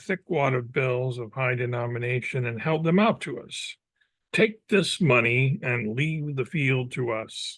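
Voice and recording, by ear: The speaker reads aloud in a natural voice, pitch rising and falling in an ordinary way, with the surroundings quiet.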